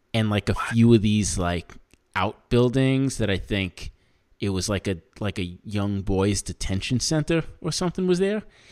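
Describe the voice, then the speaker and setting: A man with a fairly low pitch speaks in a plain, everyday voice at a moderate pace. His intonation is lively, and the sound is dry and close with no echo. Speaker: podcast host. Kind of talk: casual chat, comedic. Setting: video call, remote. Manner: casual, profane, laughs often.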